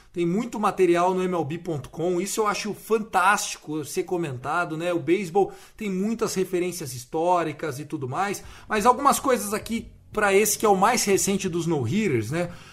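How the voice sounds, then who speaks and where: A man speaks in an animated tone at a high pitch. His pace is moderate. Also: ordinary pitch variation. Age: 30s. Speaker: podcast host. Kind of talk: casual chat.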